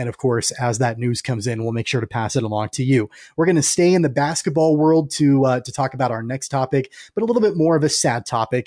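Against a quiet background with a dry, close sound and no echo, a man with a dark, mellow tone and medium pitch talks at a very fast pace with ordinary pitch variation. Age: 30s. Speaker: sports podcast host. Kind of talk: casual sports podcast chat.

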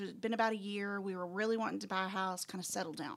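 A woman with a Texan accent talks at a very fast pace, medium in pitch with ordinary pitch variation. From West Texas. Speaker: school administrator. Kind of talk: casual chat.

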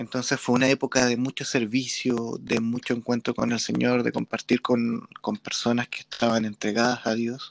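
This man has a medium-pitched voice, recorded with a dry, close sound and no echo. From Chile. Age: 30s. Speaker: podcast host and church musician. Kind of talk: casual interview.

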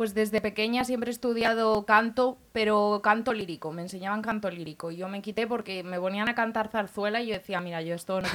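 With a plain, everyday voice, a woman speaks at a fairly quick pace, with medium pitch and ordinary pitch variation. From Spain. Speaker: singer. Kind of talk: interview. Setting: radio studio.

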